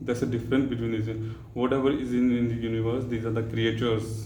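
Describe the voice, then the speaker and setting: The speaker has an Indian accent and a fairly quick pace. Audible room echo surrounds the voice. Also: man. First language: Hindi. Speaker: spiritual vlogger. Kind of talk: spiritual talk. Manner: halting.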